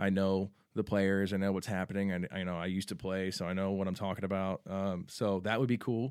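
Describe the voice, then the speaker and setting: A man with a Texan accent talks at a fairly quick clip, hardly pausing, in a flat monotone. The recording is very clean, with a silent background. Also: fairly low pitch for a man. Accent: Texan American. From San Antonio, Texas. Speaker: sports superfan and local celebrity. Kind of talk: casual chat. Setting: studio.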